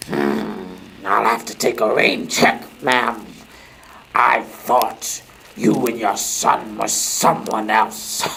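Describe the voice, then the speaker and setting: A man growls in a put-on character voice at a medium pitch. He talks at a very slow pace. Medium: old radio play. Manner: taunting, mocking.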